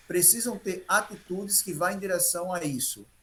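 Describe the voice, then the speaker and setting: With a Brazilian accent, a man speaks at a high pitch. His pace is fairly slow. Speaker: health professional giving talk. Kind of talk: health talk to group of elderly.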